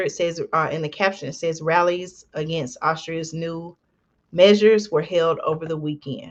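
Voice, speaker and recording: Soft-spoken and fairly low in pitch, a woman talks with an American accent. She keeps a moderate pace and ordinary pitch variation. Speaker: commentary channel host. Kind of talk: news commentary. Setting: home recording at night. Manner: soft-spoken, lowered voice; hesitant with fillers.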